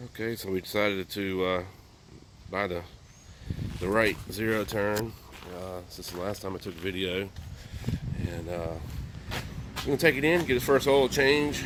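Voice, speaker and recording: Long, frequent pauses break up this man's moderate pace. His pitch is fairly low with ordinary variation. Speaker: landscaper and lawn care business owner. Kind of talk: casual vlog. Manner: hesitant with many fillers.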